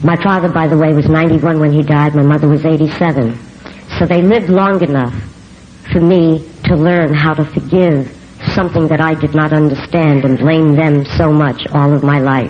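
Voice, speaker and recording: With a strong New York accent, a woman talks at a moderate pace in a very deep, low pitch, her intonation fairly even and her loudness very even. The room echo is audible, and the background noise is noticeable. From New York City. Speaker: recovery speaker. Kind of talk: recovery testimony. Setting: convention stage with audience.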